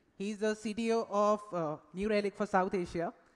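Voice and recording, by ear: At a moderate pace, a man talks with fairly even intonation and a high pitch.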